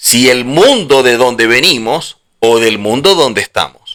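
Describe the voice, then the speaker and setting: Lively intonation in a bright, sharp tone. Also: man. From Venezuela. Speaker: religious teacher. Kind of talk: religious lecture.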